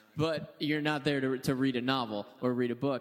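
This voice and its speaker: This man has an unremarkable speaking voice. He talks at a fairly quick pace with fairly even intonation. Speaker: radio personality. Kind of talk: casual panel talk. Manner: joking, light-hearted.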